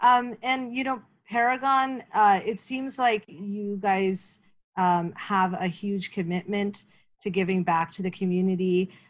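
A woman with a Canadian accent, medium pitch, ordinary pitch variation, somewhat breathy and fairly slow, against a quiet background. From Canada. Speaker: interview series host for a newcomer support organization. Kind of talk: interview.

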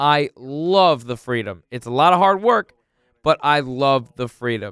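The background is silent on a very clean recording. The voice belongs to a man. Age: 20s. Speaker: real estate agent and podcast host. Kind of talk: casual solo podcast monologue. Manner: hesitant, many fillers.

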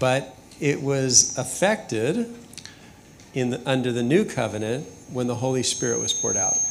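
With audible room echo and noticeable background noise, a man speaks at a medium pitch and moderate pace, his intonation lively and his pauses long and frequent. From US West, Southern California. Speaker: senior pastor. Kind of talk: sermon. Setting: church with congregation. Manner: measured, pausing for interpreter.

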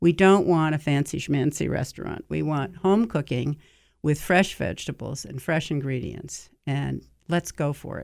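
A woman's very deep, low voice with vocal fry, big swings in loudness, and a moderate pace. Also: ordinary pitch variation, very clean recording, silent background. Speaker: restaurateur and cooking show figure. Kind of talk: casual interview. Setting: studio.

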